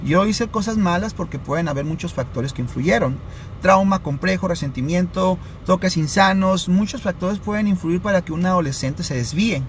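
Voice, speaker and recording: This man has a high pitch with ordinary variation and speaks at a moderate pace. Noticeable background noise is present. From Sinaloa, Mexico (Los Mochis). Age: 30s. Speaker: addiction prevention speaker. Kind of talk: live stream talk. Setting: live stream.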